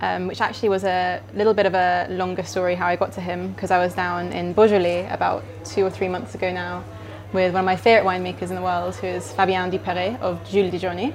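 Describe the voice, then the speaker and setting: Music plays in the background. A woman talks at a very fast pace. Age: 20s. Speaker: wine writer. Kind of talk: casual chat. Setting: restaurant.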